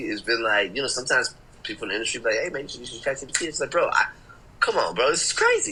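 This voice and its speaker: A man with an American accent at a very fast pace, noticeable background noise behind him. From Chicago. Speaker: interview guest. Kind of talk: casual, slangy.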